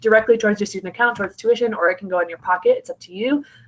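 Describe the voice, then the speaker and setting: Here a woman talks at a fairly high pitch. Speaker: college admissions counselor. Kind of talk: informational presentation. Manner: fast.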